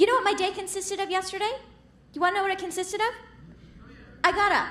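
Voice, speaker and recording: A woman talks while noticeable background noise is heard. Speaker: stand-up comedian. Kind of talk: stand-up comedy set.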